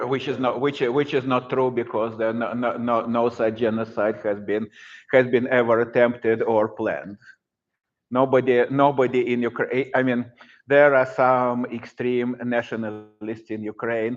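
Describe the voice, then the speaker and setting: Over a quiet background, a man with a Russian accent speaks at a moderate pace and a medium pitch, his intonation flat and monotone. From Russia, Saint Petersburg. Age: 60s. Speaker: professor. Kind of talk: lecture. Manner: halting.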